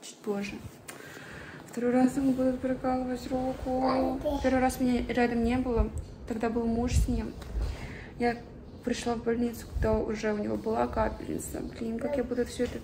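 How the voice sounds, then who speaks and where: A woman with a high pitch talks at a moderate pace in a monotone, flat intonation, with long, frequent pauses. Noticeable background noise runs underneath. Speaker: mother vlogger. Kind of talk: casual vlog chat. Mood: worried, emotional. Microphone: phone near.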